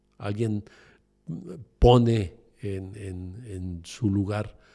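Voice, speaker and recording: The man's voice is dark and mellow, somewhat breathy. His recording is very clean against a silent background. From Mexico City. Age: 60s. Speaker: entrepreneur. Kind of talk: interview conversation. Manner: halting, many fillers.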